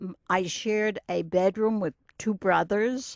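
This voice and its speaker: A woman speaks with a New York accent. The sound is dry and close, with no echo. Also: very clean recording, silent background. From Brooklyn, New York. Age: 80s+. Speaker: retired teacher. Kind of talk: oral history interview. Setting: recording booth.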